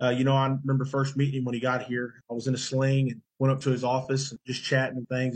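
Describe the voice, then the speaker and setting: A very fast, somewhat breathy male voice at medium pitch, monotone and flat, with an American accent. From western Oklahoma (Custer County). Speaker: college football player. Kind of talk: casual interview. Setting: video call.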